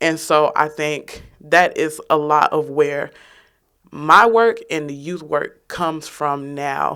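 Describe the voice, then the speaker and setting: Very slow speech with an American accent and fairly even intonation, on a very clean recording with a silent background. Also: woman, very deep, low pitch for a woman. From Chicago, South Shore. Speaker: youth activist. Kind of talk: panel discussion.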